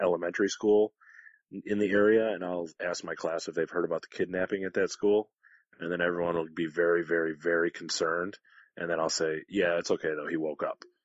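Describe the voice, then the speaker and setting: A man with an American accent speaks fairly quickly in a very deep, low pitch with monotone, flat intonation. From Detroit, US Midwest. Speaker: podcast co-host. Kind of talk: casual chat.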